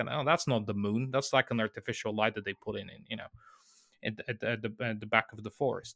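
A man talks at a very fast pace and medium pitch. His tone is bright and sharp, his intonation fairly even. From Bulgaria. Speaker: filmmaker. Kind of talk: interview. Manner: halting, many repetitions and fillers.

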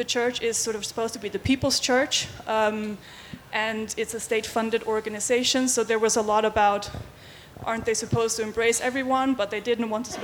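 Speaking at a fairly quick pace, a woman with a Faroese accent uses a fairly high pitch in a monotone, flat intonation. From Faroe Islands. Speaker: LGBT rights activist. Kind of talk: panel presentation. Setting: stage with audience.

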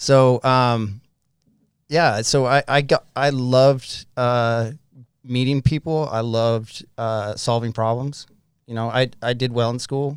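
A man at a medium pitch with an American accent, very slow and fairly even in intonation, on a very clean recording with a silent background. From Utah. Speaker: person in addiction recovery, business owner. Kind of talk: testimony.

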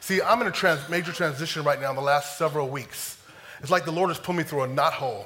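Over noticeable background noise, a man talks very fast in a fairly high voice with ordinary pitch variation. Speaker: preacher. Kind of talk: sermon. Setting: church. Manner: fast talker.

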